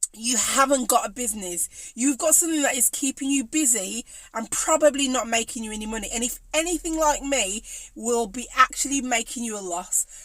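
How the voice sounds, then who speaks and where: In a Birmingham accent, a woman speaks at a moderate pace in a high pitch, with an animated tone, lively intonation and big swings in loudness. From English Midlands, Birmingham. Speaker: cake maker and business coach. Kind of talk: live stream talk to viewers.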